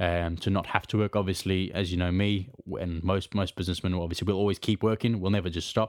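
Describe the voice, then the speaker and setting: Delivery is very fast and the intonation stays monotone and flat. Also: man, very deep, low pitch for a man. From outside the UK. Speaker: podcast co-host and cleaning business owner. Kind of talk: casual chat.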